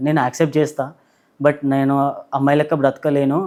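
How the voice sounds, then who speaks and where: A man with fairly high pitch and a plain, everyday voice is heard in a very clean recording with a silent background. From Telangana, near Warangal. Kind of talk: interview testimony.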